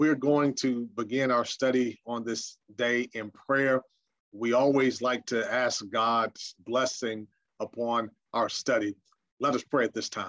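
A man talks at a fairly slow pace with monotone, flat intonation. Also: quiet background. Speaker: senior minister. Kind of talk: prayer and Bible study lecture. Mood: calm, reverent. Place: home room.

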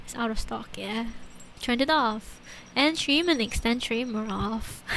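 A woman speaks with ordinary pitch variation, with audible room echo around her. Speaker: streamer. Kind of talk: casual chat. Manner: halting.

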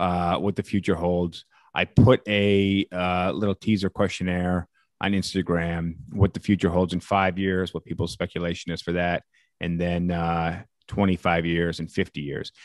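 Against a quiet background with dry sound and no echo, a man speaks at a fairly slow pace in a very deep, low voice with monotone, flat intonation. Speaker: podcast host. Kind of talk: casual podcast chat. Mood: relaxed, joking. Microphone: studio mic.

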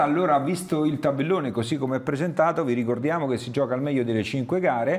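A man is speaking. His voice has ordinary pitch variation. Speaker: sports show host. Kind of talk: casual chat. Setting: studio. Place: studio. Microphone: lapel.

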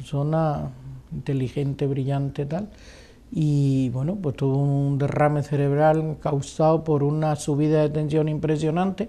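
In a very deep, low voice with a dark, mellow tone, a woman speaks fairly slowly with fairly even intonation. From Spain, Granada; Spain. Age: 60s. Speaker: retired politician. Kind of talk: interview. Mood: calm, reflective. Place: home room.

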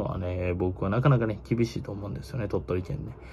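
Somewhat breathy and dark, mellow in tone, a man speaks at a fairly quick pace with lively intonation. Light background noise is present. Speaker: baseball YouTuber. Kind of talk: casual monologue commentary. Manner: casual, filler-heavy, opinionated. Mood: tired, opinionated, blunt. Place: home room. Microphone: phone near.

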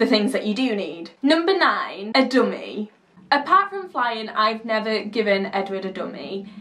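Here a woman speaks with lively intonation. Her pace is moderate. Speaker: parent vlogger. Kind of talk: tips vlog talk. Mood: cheerful, chatty. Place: home room.

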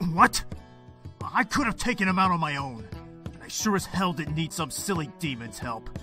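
A gruff, put-on character voice from a man, high-pitched for a man, at a moderate pace over clear background music. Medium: machinima. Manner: gruff, sarcastic, proud.

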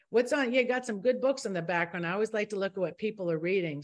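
A woman speaks with lively intonation. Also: quiet background. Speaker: talk show host. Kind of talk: online panel discussion. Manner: animated. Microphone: video call.

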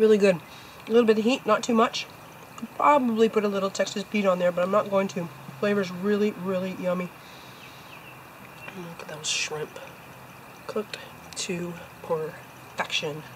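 Amid noticeable background noise, a woman speaks at a moderate pace with ordinary pitch variation, big swings in loudness, and long, frequent pauses. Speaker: outdoor cooking vlogger. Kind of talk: casual vlog chat. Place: garden. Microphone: camera far.

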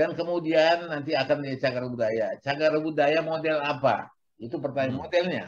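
A man with a fairly high pitch, fairly even intonation and a fairly quick pace. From Medan, North Sumatra. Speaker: show host. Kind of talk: panel discussion. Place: home room. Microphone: video call.

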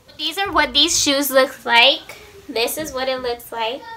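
A woman raises and projects her high-pitched voice. She speaks at a very slow pace. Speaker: YouTuber. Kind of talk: casual vlog chat. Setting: home, sitting on floor filming. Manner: casual, lazy, chatty. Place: home room. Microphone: phone near.

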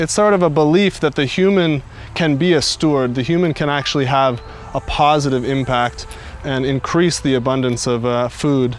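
A man speaks with ordinary pitch variation over light background noise, the sound dry with no echo. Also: moderate pace. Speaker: guest. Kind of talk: interview answer. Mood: calm, reflective. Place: forest.

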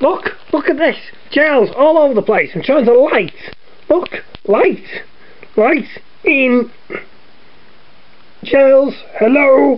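A cartoonish character voice pitched high moves at a fairly slow pace. Light noise sits in the background. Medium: puppet show. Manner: impatient, bossy, exasperated.

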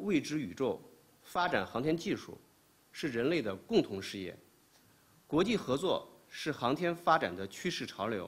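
Speaking at a fairly slow pace, a man with vocal fry swings his pitch very widely. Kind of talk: official press statement. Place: hall. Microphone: podium.

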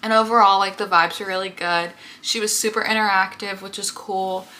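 A woman is speaking here. Her pace is fairly quick. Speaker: vlogger. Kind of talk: casual vlog chat. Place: home room. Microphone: phone near.

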